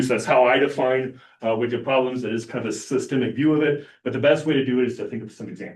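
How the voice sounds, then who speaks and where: A man's voice at a very fast pace with ordinary pitch variation. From Argentina. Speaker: professor. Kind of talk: lecture.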